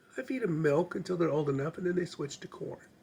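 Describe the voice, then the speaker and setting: Putting on a raspy character voice, a man talks very fast in a high pitch. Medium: solo performance. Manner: plain, folksy.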